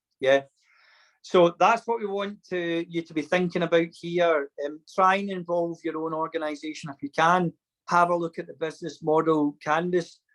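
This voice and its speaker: Speaking with a Scottish accent, a man talks at a moderate pace in a high pitch with fairly even intonation, in a dry, close sound with no echo. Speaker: programme facilitator. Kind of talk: online induction session.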